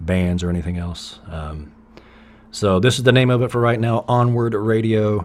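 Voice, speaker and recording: A man speaks at a fairly slow pace in a Southern accent. His pitch varies in an ordinary way. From US South, East Tennessee. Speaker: podcast host and musician. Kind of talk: casual monologue. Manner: conversational, with fillers and restarts.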